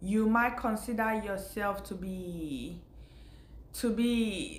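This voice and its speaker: A woman speaks at a very slow pace in a fairly high pitch, her voice somewhat breathy. Room echo is audible around her. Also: ordinary pitch variation. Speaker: faith vlogger. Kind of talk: casual spiritual talk to camera.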